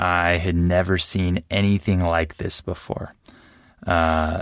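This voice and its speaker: In a very clean recording with a silent background, a man speaks with a very deep, low pitch and monotone, flat intonation. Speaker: podcast host, English teacher. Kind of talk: language-learning monologue. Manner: slow; clear.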